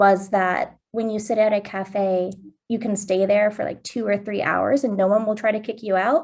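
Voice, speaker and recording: A woman with an American accent, medium pitch and ordinary pitch variation, a plain, everyday voice, over a quiet background. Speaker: study abroad alum, grad student. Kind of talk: panel introduction.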